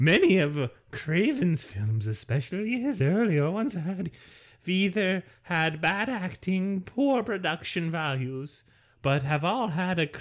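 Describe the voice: A man uses a put-on character voice, high-pitched and fairly slow. He pauses long and often in a very clean recording with a silent background.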